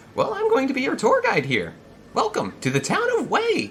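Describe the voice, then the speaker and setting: Against clear background noise, a man performs a put-on character voice at a moderate pace. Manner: welcoming, expansive.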